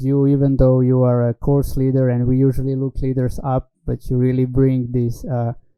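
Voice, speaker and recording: At a moderate pace, a man with a Slovenian accent speaks in a medium pitch. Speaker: talk show host. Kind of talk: interview. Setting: online stream.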